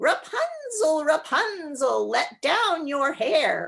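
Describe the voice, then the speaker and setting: Someone shouts very slowly in a shrill, put-on character voice. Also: woman. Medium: read story. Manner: shrill, screaming.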